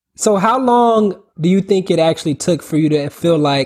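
With an American accent, a normal speaking voice moves at a moderate pace with ordinary pitch variation. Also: man. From Orlando, Florida. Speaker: podcast host. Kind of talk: casual interview.

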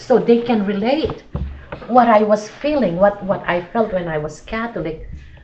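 A woman speaks at a moderate pace with a fairly high pitch and ordinary pitch variation, with noticeable background noise and audible room echo. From Philippines. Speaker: church missionary. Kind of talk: casual chat.

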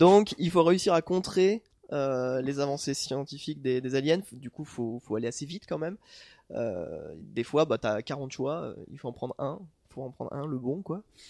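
Recorded very cleanly against a silent background, with a dry, close sound and no echo, a man with a fairly high pitch and a dark, mellow tone speaks at a fairly slow pace with lively intonation. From France, moved around (Corsica, Corrèze, Toulouse). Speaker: author. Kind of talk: casual chat.

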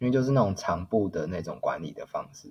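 Pitch moves in an ordinary way here. There is a somewhat breathy quality to the voice. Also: man. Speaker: HR employee. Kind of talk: casual interview. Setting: remote call.

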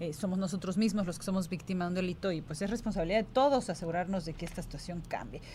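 A woman's medium-pitched, somewhat breathy voice with a dark, mellow tone, very fast delivery, hardly any pauses and ordinary pitch variation. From Yucatán Peninsula, Mexico. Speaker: radio host. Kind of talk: radio interview.

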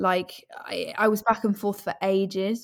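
Speaking fairly slowly in an East Midlands accent, a woman keeps her intonation flat and monotone. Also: very clean recording, silent background. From English East Midlands (Leicestershire/Northamptonshire). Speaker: actress. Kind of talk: casual interview chat.

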